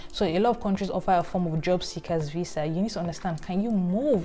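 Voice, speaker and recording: Against background music, a woman with a Nigerian accent speaks at a very fast pace and a fairly low pitch. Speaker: career vlogger. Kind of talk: vlog advice.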